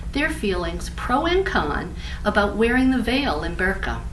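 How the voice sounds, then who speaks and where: Noticeable background noise accompanies a woman speaking at a moderate pace. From New Orleans. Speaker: radio show host. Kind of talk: audition pitch to camera.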